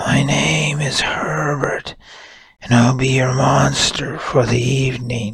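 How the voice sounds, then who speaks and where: A breathy, raspy put-on character voice from a man, medium in pitch and fairly slow in pace. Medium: read story. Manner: polite, formal.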